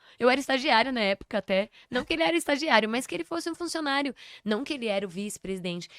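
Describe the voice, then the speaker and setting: A woman's fairly high voice at a very fast pace with lively intonation, dry and close with no echo, on a very clean recording with a silent background. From São Paulo, Brazil. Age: 30s. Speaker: podcast guest, performer and speaker. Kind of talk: casual interview chat.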